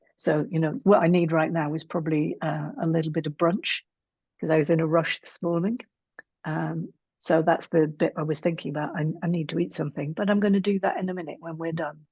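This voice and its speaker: A woman talks at a fairly quick pace in a normal speaking voice. Her pitch is fairly low, with ordinary variation. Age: 60s. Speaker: psychotherapist and relationship coach. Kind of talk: interview conversation.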